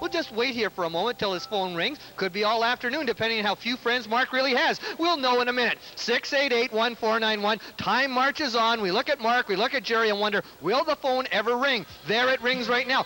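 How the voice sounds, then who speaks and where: Over noticeable background noise, a man with an extremely high pitch uses a raised, projected voice at a fairly quick pace, keeping very even loudness and ordinary pitch variation with hardly any pauses. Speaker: telethon host. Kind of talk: telethon appeal. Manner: fast; animated.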